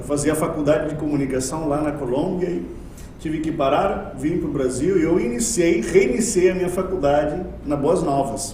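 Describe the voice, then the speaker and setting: Recorded with audible room echo and noticeable background noise, a man talks in a fairly high voice with ordinary pitch variation. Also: moderate pace. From Colombia. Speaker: university lecturer. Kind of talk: podcast interview.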